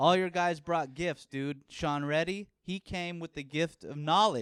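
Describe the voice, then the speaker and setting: This man talks loudly and fairly slowly in a high pitch, his intonation fairly even and the sound dry and close with no echo. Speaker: podcast host and comedian. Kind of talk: casual chat. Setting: home studio podcast set.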